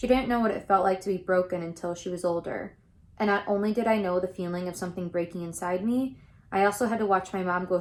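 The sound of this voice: Reading in an unforced voice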